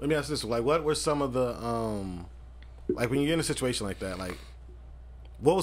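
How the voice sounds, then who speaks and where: A man's medium-pitched voice with vocal fry, very fast, broken by long, frequent pauses. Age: 30s. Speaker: podcast host. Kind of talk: casual chat.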